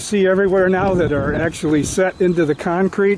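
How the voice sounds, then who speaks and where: The sound is dry with no echo, though noticeable background noise runs underneath. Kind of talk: casual vlog narration. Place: open country. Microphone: camera far.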